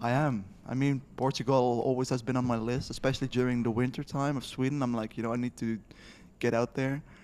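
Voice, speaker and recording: A man's medium-pitched voice with a Dutch accent, very fast and monotone, with flat intonation. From Netherlands. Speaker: podcast co-host, developer. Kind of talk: casual chat.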